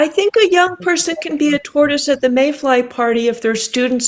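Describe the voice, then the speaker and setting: With a normal speaking voice, a woman speaks at a moderate pace using lively intonation. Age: 60s. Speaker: writer and climate activist. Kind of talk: interview conversation.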